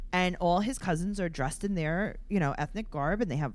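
A woman with an unremarkable speaking voice uses lively intonation at a medium pitch. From New York (Queens). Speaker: podcast co-host. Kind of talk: casual chat.

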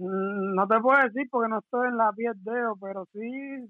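A man talks at a fairly slow pace with an extremely high pitch. His intonation stays fairly even. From Cuba. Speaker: professional boxer. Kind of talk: live interview.

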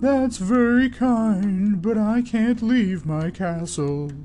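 A fairly high-pitched put-on character voice at a very slow pace, with clear background noise

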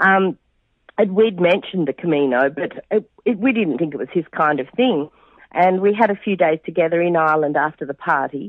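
A fairly low-pitched woman with an Australian accent, talking at a fairly quick pace with lively intonation. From Western Australia. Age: 50s. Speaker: pilgrim and mother. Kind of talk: casual interview. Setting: phone call. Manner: cheerful, warm.

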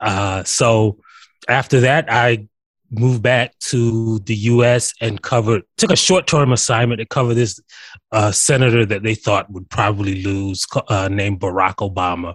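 A man with an American accent and a medium, somewhat breathy voice, at a moderate pace with ordinary pitch variation, in a very clean, dry, close recording with no echo and a silent background. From South Carolina. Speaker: writer and author. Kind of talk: interview.

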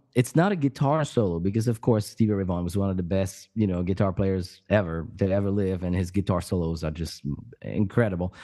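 In a French accent, a man speaks with a very deep, low pitch and a dark, mellow tone. His pitch variation is ordinary, and the background is quiet. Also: fairly quick pace. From France, Paris area. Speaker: podcast co-host. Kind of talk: casual chat. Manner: halting.

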